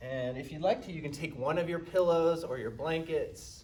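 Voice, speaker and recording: A man at a moderate pace, with audible room echo. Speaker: yoga instructor. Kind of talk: guided yoga class. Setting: live-streamed studio class. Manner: loud.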